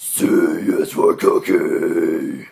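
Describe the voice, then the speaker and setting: Putting on a character voice, a man speaks at an extremely high pitch with a raspy sound. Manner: growling.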